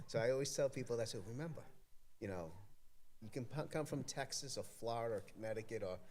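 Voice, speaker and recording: With audible room echo, a man talks at a very fast pace broken by long, frequent pauses, at medium pitch with ordinary variation. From Massachusetts, Everett (Boston area). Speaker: community event organizer, board member. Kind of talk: casual interview chat. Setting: podcast studio at an arts festival, live stream. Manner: halting, many fillers.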